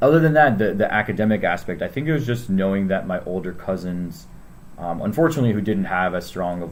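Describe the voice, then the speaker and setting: Talking at a very fast pace with a General American accent, a man makes very wide pitch swings amid audible room echo. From Northern Virginia, US. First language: Spanish. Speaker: school staff member. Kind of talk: interview. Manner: hesitant, many fillers.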